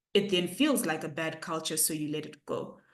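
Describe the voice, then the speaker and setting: A woman talks with a fairly low pitch. Audible echo from the room surrounds her voice. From Zimbabwe. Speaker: poet. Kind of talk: author Q&A. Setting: video call.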